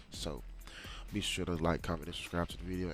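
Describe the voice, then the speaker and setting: Over music in the background, a man speaks in an animated tone with lively intonation. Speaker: YouTube reactor. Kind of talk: reaction video commentary. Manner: casual, animated.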